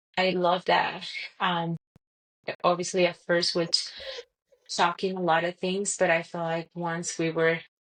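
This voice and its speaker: With a Colombian accent, a woman speaks at a fairly slow pace in a fairly low pitch, her monotone, flat intonation broken by long, frequent pauses. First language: Spanish. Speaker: podcast guest, mother. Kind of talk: casual interview chat. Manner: halting, many fillers.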